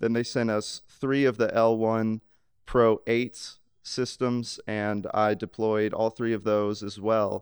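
Over a quiet background, a man with an American accent speaks in a monotone, flat intonation. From US South, Mississippi (Laurel). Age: 20s. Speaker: sound engineer. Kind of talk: casual interview.

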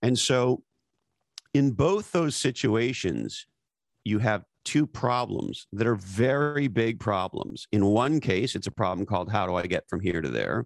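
Recorded dry and close with no echo, in a very clean recording with a silent background, a man at medium pitch talks at a fairly slow pace with lively intonation and vocal fry. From Canada, Montreal area. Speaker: author and former marketing executive. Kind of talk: interview. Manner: animated.

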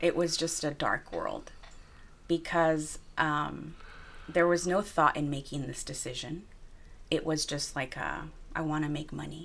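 Very deep and low in pitch with vocal fry, a woman speaks in monotone, flat intonation at a fairly slow pace with long, frequent pauses. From Wilmington, Los Angeles, California. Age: 30s. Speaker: college program director and author. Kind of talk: interview.

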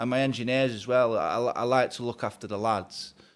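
In a Lincolnshire accent, a man talks at a fairly quick pace with monotone, flat intonation. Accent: Lincolnshire (Grimsby) English. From Grimsby, England. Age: 30s. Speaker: heating engineer and business owner. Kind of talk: casual interview chat.

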